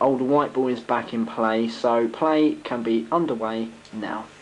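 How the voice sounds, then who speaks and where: This man has an unremarkable speaking voice, medium in pitch, and talks at a fairly slow pace. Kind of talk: sports commentary. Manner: hushed, excited play-by-play, mock-serious and theatrical.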